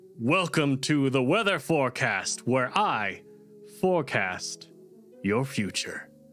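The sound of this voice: Doing a put-on, robotic character voice, a man speaks fairly slowly at a medium pitch with very wide pitch swings. Clear music plays in the background.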